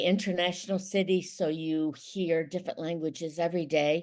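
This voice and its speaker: In an unremarkable speaking voice, a woman with an American accent talks at a moderate pace and fairly low pitch, with fairly even intonation against a quiet background. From Ohio, USA. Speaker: intercultural mediator. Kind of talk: podcast interview answer.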